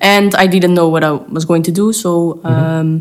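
At a moderate pace, a woman speaks in a fairly low pitch with a Flemish accent. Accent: Flemish Belgian English. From Belgium. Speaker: dog trainer. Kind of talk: interview. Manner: hesitant.

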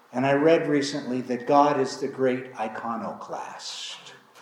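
Fairly slow speech is heard against noticeable background noise. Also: man. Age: 60s. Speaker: pastor. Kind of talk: sermon. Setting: church. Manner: halting.

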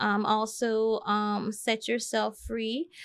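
With an American accent, a woman talks in a fairly high pitch. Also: very clean recording, silent background. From US Virgin Islands. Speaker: life coach. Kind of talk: podcast interview. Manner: hesitant, many ums.

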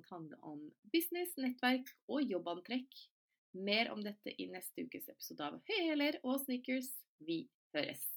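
A woman speaks at a high pitch and a moderate pace, leaving long, frequent pauses. Her pitch swings very widely and her loudness shifts a lot. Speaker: podcast host. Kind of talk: solo podcast monologue.

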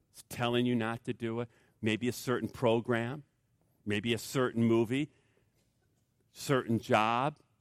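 A man talks at a moderate pace in a plain, everyday voice of medium pitch. The recording is very clean, with a silent background and a dry, close sound with no echo. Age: 50s. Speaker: pastor. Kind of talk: sermon.

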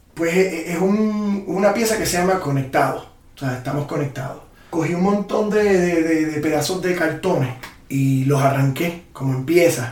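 A man with a Puerto Rican accent speaks at a high pitch and moderate pace, with noticeable background noise and audible room echo. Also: ordinary pitch variation. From Puerto Rico. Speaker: muralist and photographer. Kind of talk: interview.

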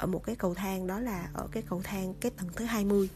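Somewhat breathy and dark, mellow in tone, a woman speaks at a medium pitch and a moderate pace. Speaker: podcast host. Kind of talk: storytelling monologue. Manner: casual, many fillers.

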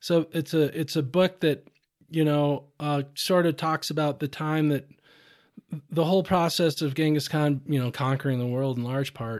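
Recorded very cleanly against a silent background, a man with an American accent and a fairly high pitch speaks at a moderate pace in an unremarkable speaking voice with fairly even intonation. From US Midwest, southeast Minnesota. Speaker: fishing guide and conservation nonprofit director. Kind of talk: podcast interview. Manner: casual, frequent fillers and repetitions.

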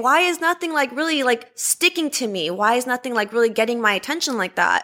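In a Californian accent, a woman talks very fast with a raised, projected voice. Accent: Californian American. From Los Angeles. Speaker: zoo student keeper. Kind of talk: interview.

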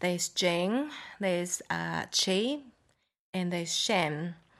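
Against a quiet background, a woman with a Japanese accent speaks at a very slow pace. Long, frequent pauses break up her speech. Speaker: raw food cafe owner. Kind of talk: casual interview. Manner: halting.

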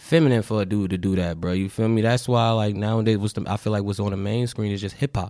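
A man's fairly low voice at a fairly quick pace, a normal speaking voice. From Newark, New Jersey. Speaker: musician. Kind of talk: casual interview chat. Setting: studio. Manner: laid-back, slangy.

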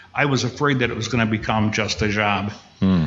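He has a normal speaking voice and talks at a fairly quick pace. This man's pitch variation is ordinary. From Upper Peninsula of Michigan. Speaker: former county executive and historian. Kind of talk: casual interview.

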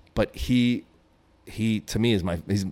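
A man with a New York accent speaks at a fairly low pitch. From Brooklyn, New York. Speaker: graffiti writer and author. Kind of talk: interview.

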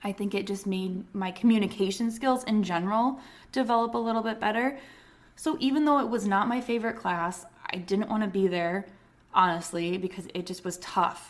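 A woman's unremarkable speaking voice: medium pitch, ordinary pitch variation, moderate pace. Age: 30s. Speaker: nurse and nursing podcast host. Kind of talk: casual solo podcast talk. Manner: conversational.

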